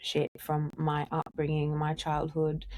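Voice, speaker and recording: Speaking fairly slowly with an Australian accent, a woman is heard on a very clean recording with a silent background. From Australia, Sydney. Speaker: musician in a duo. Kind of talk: podcast interview.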